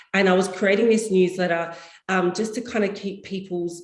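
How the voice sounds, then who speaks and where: A woman with a medium-pitched voice talks amid audible room echo. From Australia (Perth). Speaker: property consultant. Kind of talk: interview. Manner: animated.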